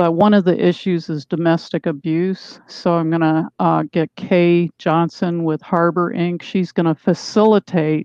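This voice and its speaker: Fairly low in pitch, a woman with a plain, everyday voice speaks with fairly even intonation. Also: fairly slow pace, hardly any pauses. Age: 60s. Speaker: author. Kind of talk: interview. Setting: video call.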